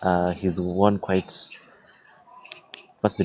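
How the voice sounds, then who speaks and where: Quiet and monotone, a man speaks in a very deep, low pitch over noticeable background noise. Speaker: chess commentator and streamer. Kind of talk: live game commentary and interview. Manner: quiet, low voice.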